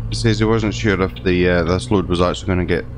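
A man's very deep, low voice at a very fast pace, with noticeable background noise. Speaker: gaming video creator. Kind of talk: role-play let's play narration. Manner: halting.

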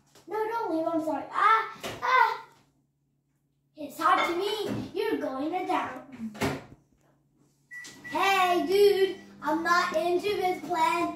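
A cartoonish character voice, extremely high-pitched and whiny, at a very slow pace with slight echo. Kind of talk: homemade comic puppet play. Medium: puppet show. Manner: whiny, bickering, shouting.

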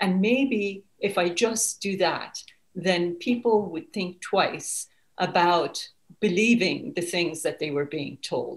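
A very slow, somewhat breathy voice with a Persian accent. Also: woman, ordinary pitch variation. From Iran (Tehran). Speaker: author; guest. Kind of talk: interview. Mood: reflective, earnest. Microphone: webcam.

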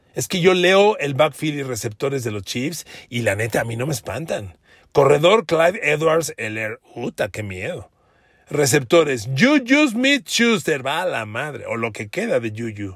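Somewhat breathy and animated in tone, the voice moves at a fairly slow pace with very wide pitch swings on a very clean recording with a silent background. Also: man, fairly high pitch for a man. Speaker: sports journalist. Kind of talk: solo podcast commentary.

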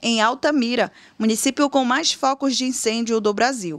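A woman with a plain, everyday voice speaks at a moderate pace and a fairly high pitch with ordinary pitch variation. The sound is dry and close, with no echo. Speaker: news presenter. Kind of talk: newsreading, formal broadcast report. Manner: formal, measured, even-paced; neutral, serious tone, clear diction.

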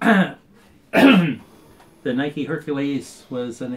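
A man talks at a fairly high pitch. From United States. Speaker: army veteran. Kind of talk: interview answer. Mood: calm, friendly explaining. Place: office. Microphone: phone near.

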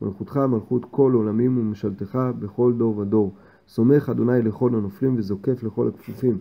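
With a plain, everyday voice, a man talks at a moderate pace and medium pitch, keeping his intonation fairly even. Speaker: man reading prayers aloud for his blind grandfather.

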